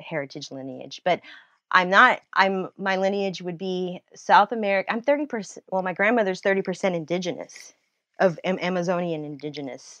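A woman with a medium pitch talks at a fairly quick pace with lively intonation. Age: 40s. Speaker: nurse and writer. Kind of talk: casual interview. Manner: rapid, tumbling speech with false starts.

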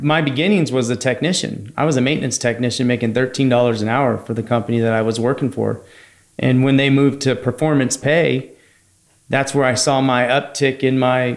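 An ordinary speaking voice, a man with an American accent talks at a fairly quick pace and medium pitch, his intonation fairly even, in a very clean recording with a silent background. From San Francisco Bay Area, California. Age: 30s. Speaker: HVAC company founder. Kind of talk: casual interview.

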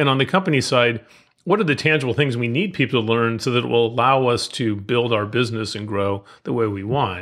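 At a fairly quick clip, a man with an ordinary speaking voice talks, his pitch varying in an ordinary way. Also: medium pitch for a man. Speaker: HR technology expert. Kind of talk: casual interview. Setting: podcast interview.

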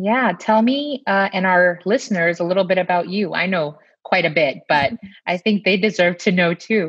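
A plain, everyday voice at a moderate pace, with very even loudness and ordinary pitch variation. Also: woman, medium pitch for a woman. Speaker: pediatrician podcast host. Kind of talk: casual chat.

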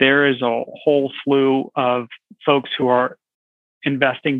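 With an American accent, a plain, everyday voice speaks at a fairly slow pace. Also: man. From California. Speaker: foundation program officer. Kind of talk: interview.

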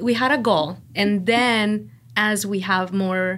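A medium-pitched woman's voice with a Mexican accent. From Mexico. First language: Spanish. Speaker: social media director. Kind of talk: casual chat. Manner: laughs often.

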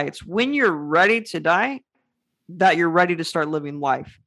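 A man speaks loudly at a moderate pace with high pitch. His tone is energetic, bright and sharp. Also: quiet background. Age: 20s. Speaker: author, young entrepreneur and public speaker with a muscular disease. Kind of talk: interview conversation. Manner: loud, energetic.

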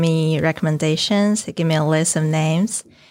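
A woman with a fairly low voice speaks in a Chinese accent with ordinary pitch variation, on a very clean recording with a silent background. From China. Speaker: PhD student. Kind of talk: casual interview.

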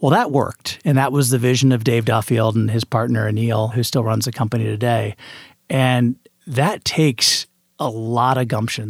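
The speaker is a man with an unremarkable speaking voice at medium pitch. He keeps a moderate pace and fairly even intonation on a very clean recording with a silent background. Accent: American. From US Midwest, Indianapolis, Indiana. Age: 40s. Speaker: venture capitalist. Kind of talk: interview.

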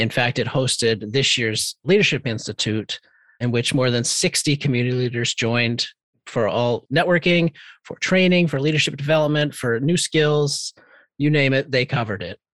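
A man's ordinary speaking voice at a moderate pace, with a dry, close sound with no echo and a very clean recording over a silent background. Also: medium pitch for a man, ordinary pitch variation. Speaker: podcast co-host. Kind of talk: casual podcast chat, year-in-review.

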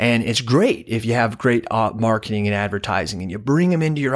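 Very clean recording with a silent background, a man at medium pitch with lively intonation and a fairly quick pace. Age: 30s. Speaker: insurance agency owner and podcaster. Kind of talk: casual interview chat. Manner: animated.

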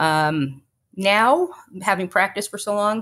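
A woman talks at a moderate pace with an American accent and a medium pitch. The recording is very clean, with a silent background. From Texas, Fort Worth area. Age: 40s. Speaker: lawyer. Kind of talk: interview. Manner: halting, many fillers.

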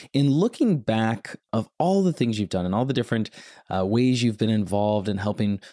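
At a moderate pace, the voice has a dark, mellow tone, with a dry, close sound free of echo on a very clean recording with a silent background. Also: man. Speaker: podcast host and eye surgeon. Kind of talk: casual interview.

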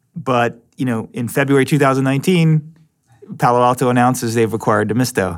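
Speaking at a fairly quick pace, a man with an unremarkable speaking voice keeps a medium pitch and ordinary pitch variation. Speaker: podcast host and venture capitalist. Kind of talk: casual interview.

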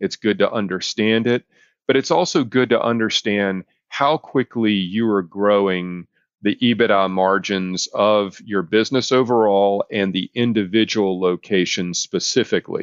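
A man with an ordinary speaking voice and an American accent speaks at a moderate pace in a fairly low pitch. His pitch varies in an ordinary way while his loudness stays very even. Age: 50s. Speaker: business consultant podcast host. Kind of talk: solo business podcast, educational monologue.

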